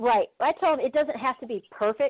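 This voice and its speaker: A woman with a Kentucky accent, at a moderate pace with ordinary pitch variation. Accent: Kentucky Southern. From San Diego, California. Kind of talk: casual interview. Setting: phone call.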